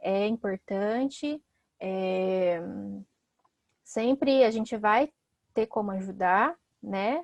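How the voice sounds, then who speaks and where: A woman talks with lively intonation. The sound is dry and close, with no echo. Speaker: psychologist and teacher. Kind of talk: online talk.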